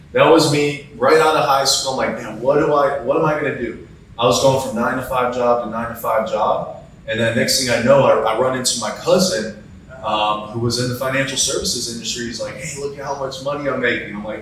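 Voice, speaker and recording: An American-accented man of medium pitch talks at a fairly quick pace with fairly even intonation, over noticeable background noise and audible room echo. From US Midwest, Cleveland, Ohio. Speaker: insurance agent and sales coach. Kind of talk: podcast interview.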